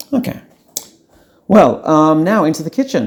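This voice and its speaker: With an Australian accent, a man speaks with lively intonation. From Sydney, Australia. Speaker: podcast host. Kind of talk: comedic audio diary tour. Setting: walking around home apartment.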